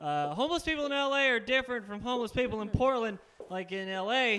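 Raised and projected, a man's voice has a bright, sharp tone and lively intonation at a fairly quick pace. Light background noise can be heard. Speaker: stand-up comedian. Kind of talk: stand-up comedy set. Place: studio. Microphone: handheld.

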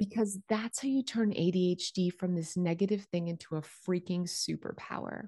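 A woman speaks at a medium pitch with a dark, mellow, somewhat breathy tone and ordinary pitch variation. Her moderate pace has hardly any pauses, in a dry, close sound with no echo. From rural small-town area. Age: 40s. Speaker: podcast host and home organizing creator. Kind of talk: personal testimony.

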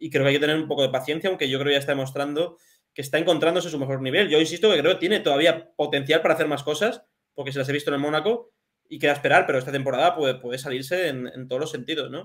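Very fast speech from a man, fairly high in pitch, with ordinary pitch variation over a quiet background. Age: 20s. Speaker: football journalist; remote guest. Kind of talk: casual chat. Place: home room.

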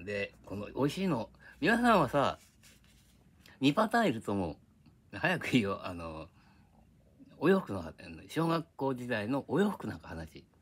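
A man speaks at a fairly slow pace with vocal fry, long, frequent pauses, very wide pitch swings and big swings in loudness. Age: old. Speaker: YouTuber. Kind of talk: casual monologue. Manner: rambling, frequent laughter. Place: home room. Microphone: phone near.

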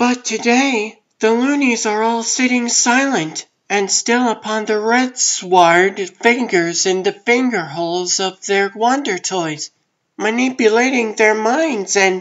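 Pitched fairly high, a woman speaks at a fairly slow pace with ordinary pitch variation. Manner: earnest, gentle.

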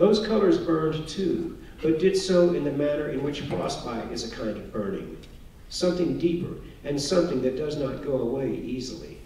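With an American accent and lively intonation, a man talks at a moderate pace amid audible room echo and light background noise. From Texas, Houston suburbs; Texas. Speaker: author; author giving a lecture. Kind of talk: lecture. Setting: stage with audience. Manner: formal. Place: hall.

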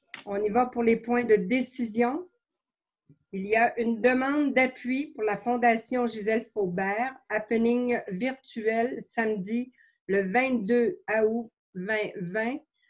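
Ordinary pitch variation at a very slow pace, against a quiet background. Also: woman, fairly high pitch for a woman. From Quebec. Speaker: mayor chairing council meeting. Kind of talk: municipal council meeting. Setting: closed-door council chamber. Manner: formal. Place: home room. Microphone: video call.

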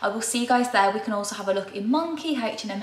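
Amid audible room echo, a woman speaks at a very fast pace. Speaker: fashion vlogger. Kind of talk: casual vlog chat. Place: kitchen. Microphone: camera far.

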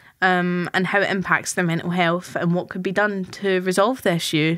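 With a normal speaking voice, a woman talks at a moderate pace and medium pitch, her intonation fairly even. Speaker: student podcast host. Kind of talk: casual chat.

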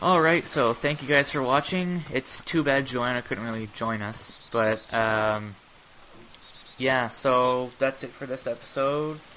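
Noticeable background noise accompanies speech that goes fairly slowly. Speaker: gaming YouTuber. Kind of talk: casual gameplay commentary. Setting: online voice chat while gaming. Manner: animated.

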